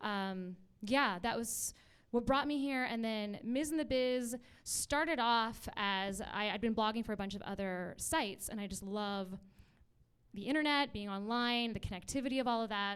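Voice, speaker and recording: A woman with a Canadian accent and an ordinary speaking voice, fairly high in pitch, at a moderate pace, on a very clean recording with a silent background. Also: ordinary pitch variation. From Vancouver, Canada. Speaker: actor and producer, online community founder. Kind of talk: panel discussion.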